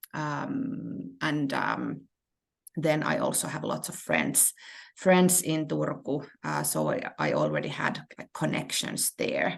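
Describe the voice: A woman talks at a slow pace, low in pitch, with vocal fry. Her pitch swings widely.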